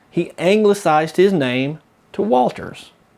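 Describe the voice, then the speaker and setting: Lively intonation runs through the speech. It is delivered in a Southern US accent. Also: man. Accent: southern drawl. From US South. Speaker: local historian and author. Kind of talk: storytelling commentary. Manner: casual, conversational.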